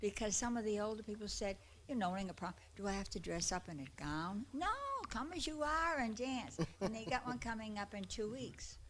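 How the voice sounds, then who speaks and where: Over noticeable background noise, a woman talks fairly quickly in a fairly high voice with lively intonation. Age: 80s+. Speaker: attendee at a public comment session. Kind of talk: public comment. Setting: public meeting. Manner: loud.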